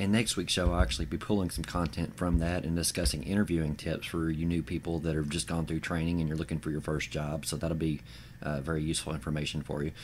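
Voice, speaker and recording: A man with a very deep, low pitch speaks very fast with fairly even intonation. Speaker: podcast host and website co-founder. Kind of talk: podcast monologue promoting a website. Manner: filler-heavy, informal.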